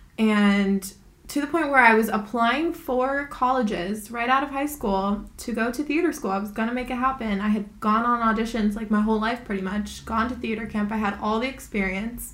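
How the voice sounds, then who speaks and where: A woman talks at a moderate pace with hardly any pauses and a fairly high pitch. Her ordinary pitch variation carries audible room echo. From Hawaii. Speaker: podcast co-host. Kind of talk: casual chat.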